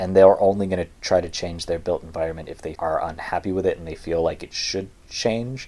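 With an American accent, a man speaks fairly quickly and hardly pauses. His loudness swings widely. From California. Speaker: podcast co-host. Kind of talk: casual chat.

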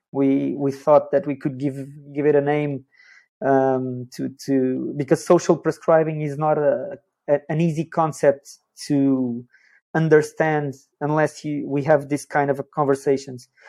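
A man's fairly high-pitched voice with a dark, mellow tone, flat monotone intonation and a fairly slow pace against a quiet background. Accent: Portuguese. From Portugal. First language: Portuguese. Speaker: social prescribing worker, sports psychologist. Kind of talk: interview.

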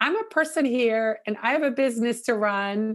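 A woman speaks with a Dutch accent in a fairly high pitch. Her pitch varies in an ordinary way over a quiet background. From Netherlands. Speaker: social media consultant. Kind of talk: interview. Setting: remote recording.

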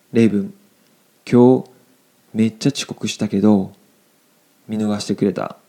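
Using long, frequent pauses, a man with a fairly low, dark, mellow voice speaks at a fairly slow pace with fairly even intonation. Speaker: Japanese language teacher podcast host. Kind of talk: language lesson explaining phrases; casual chat. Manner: casual, filler-heavy.

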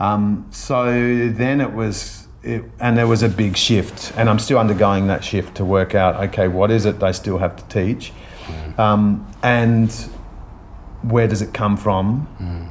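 Over noticeable background noise, a man talks at a fairly slow pace with fairly even intonation and a fairly low pitch. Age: 50s. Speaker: dancer and physical theatre maker. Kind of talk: casual interview. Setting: office after rehearsals.

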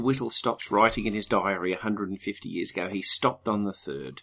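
With an Australian accent, a man speaks in a bright, sharp tone against a quiet background. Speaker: podcast co-host. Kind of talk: casual chat.

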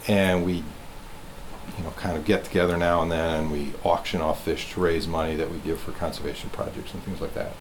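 There is noticeable background noise as a man with a very deep, low pitch speaks at a moderate pace in a monotone, flat intonation with hardly any pauses. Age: old. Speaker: museum fish curator. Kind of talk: interview.

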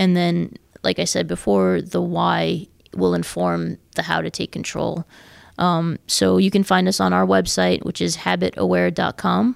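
A woman with an American accent at a fairly slow pace, dry and close with no echo, on a very clean recording with a silent background. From New York, US. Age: 30s. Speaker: mental health advocate and tech entrepreneur. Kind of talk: interview.

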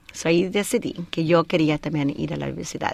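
A woman's unremarkable speaking voice, fairly low in pitch with ordinary pitch variation, on a very clean recording with a silent background. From Colorado, US. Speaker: air force veteran and author. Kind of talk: radio interview. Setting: studio.

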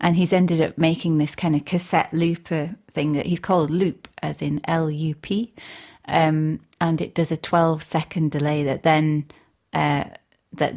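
A woman talks with a Yorkshire accent in a very deep, low pitch and fairly even intonation. The recording is very clean, with a silent background. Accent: broad Yorkshire. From Northern Ireland, raised in Barnsley, Yorkshire from age eight. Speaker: composer and radio presenter. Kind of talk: casual interview chat.

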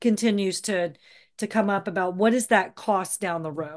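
Over a quiet background, a woman with an American accent uses a plain, everyday voice at medium pitch, with ordinary pitch variation and a moderate pace. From US South, Georgia (Atlanta). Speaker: event producer. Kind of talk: casual interview.

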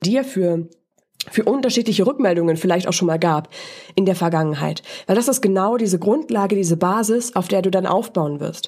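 A woman's medium-pitched voice with a dark, mellow tone and very even loudness. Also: lively intonation, moderate pace. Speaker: voice and presentation coach, podcast host. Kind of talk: solo podcast monologue, coaching talk. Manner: casual, conversational with filler words.

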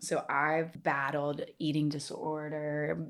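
The pitch here is very deep and low. It belongs to a woman. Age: 30s. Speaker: fitness trainer and yoga teacher. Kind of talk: casual interview chat. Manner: animated.

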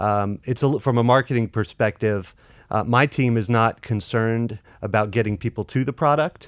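In a normal speaking voice with an American accent, a man talks at a moderate pace and medium pitch, with ordinary pitch variation and very even loudness. The recording is very clean with a silent background, dry and close with no echo. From North Carolina. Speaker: fintech marketing professional. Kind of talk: casual interview.

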